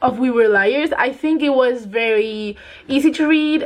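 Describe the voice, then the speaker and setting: A woman with a non-native accent and a high voice talks at a fairly slow pace with ordinary pitch variation, over noticeable background noise. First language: not English. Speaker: book youtuber. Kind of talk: casual chat. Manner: casual, many fillers.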